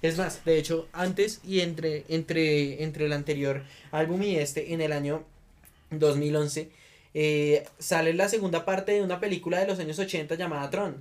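A man with an unremarkable speaking voice talks fairly slowly at a fairly high pitch, keeping his intonation fairly even. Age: 20s. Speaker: podcast host. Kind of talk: casual chat.

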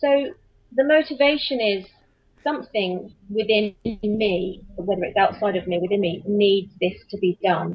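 This woman has an English accent and a medium pitch. Her voice is somewhat breathy, with lively intonation. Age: 40s. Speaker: children's author and voiceover artist. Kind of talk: interview. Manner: halting, many fillers and repeats.

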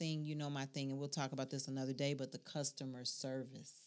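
Very clean recording, silent background. A woman with an American accent speaks at a fairly quick pace in a very deep, low pitch. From Chicago South Side. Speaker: podcast co-host. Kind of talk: casual chat.

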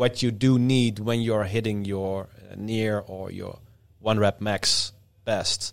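In a very clean recording with a silent background, the speaker has a Dutch accent. Delivery is very slow and monotone with flat intonation, yet shows big swings in loudness. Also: man, fairly low pitch for a man. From Netherlands. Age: 30s. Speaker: strongman athlete and coach. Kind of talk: casual chat.

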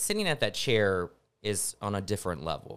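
In an American accent, a man speaks at a moderate pace with fairly low pitch. It is an ordinary speaking voice. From West Texas. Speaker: TV journalist. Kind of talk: casual interview. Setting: studio.

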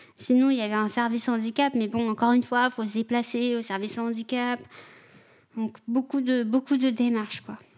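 A fairly quick, monotone delivery with flat intonation. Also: woman, fairly high pitch for a woman. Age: 20s. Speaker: social worker with offenders. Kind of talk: personal testimony interview. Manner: halting, many hesitations.

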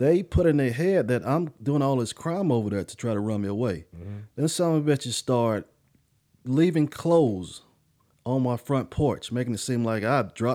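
Lively intonation marks a man speaking with a dark, mellow tone. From US South, Charlotte, North Carolina. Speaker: podcast co-host. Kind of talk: casual chat.

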